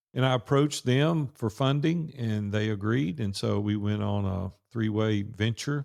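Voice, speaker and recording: A man with a Southern US accent talks at a fairly slow pace with hardly any pauses. His pitch is fairly low, with ordinary pitch variation. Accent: Southern drawl. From US South, Nashville, Tennessee. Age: 60s. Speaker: entrepreneur and business coach. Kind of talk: podcast interview. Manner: casual, conversational.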